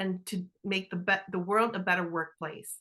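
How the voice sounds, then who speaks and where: A woman talks with a bright, sharp tone. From Canada. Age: 50s. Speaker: leadership consultant. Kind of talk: interview.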